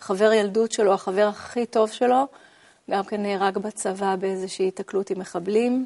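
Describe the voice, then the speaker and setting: With a dark, mellow tone, a woman speaks at a moderate pace in a flat, monotone delivery, and the sound is dry and close with no echo. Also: medium pitch for a woman. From Israel, Ramat HaSharon. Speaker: interview guest telling her life story. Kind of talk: personal testimony interview. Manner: hesitant with fillers.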